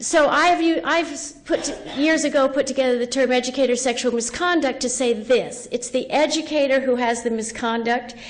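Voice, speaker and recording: With noticeable background noise around her, a woman speaks in a high pitch at a moderate pace, her intonation fairly even and hardly any pauses. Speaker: education professor and researcher. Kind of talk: lecture.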